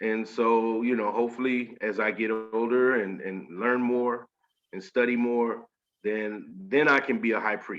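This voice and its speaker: A man talks at a fairly slow pace and medium pitch. He speaks with a slight Southern US accent. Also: ordinary pitch variation. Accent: slight Southern drawl. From Washington State, US. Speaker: spiritual initiate. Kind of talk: interview.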